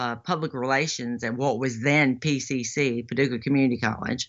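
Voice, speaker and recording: This woman has a very deep, low pitch and a Western Kentucky accent. She talks at a fairly quick pace with fairly even intonation. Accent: Western Kentucky Southern US. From western Kentucky, Lyon County. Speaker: political candidate, former radio broadcaster. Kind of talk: casual interview.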